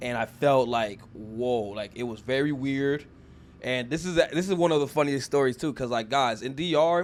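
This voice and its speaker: Here a man speaks with an ordinary speaking voice at a medium pitch. His pace is moderate, with ordinary pitch variation. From born in US, raised partly in Dominican Republic. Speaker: podcast host. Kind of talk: casual chat.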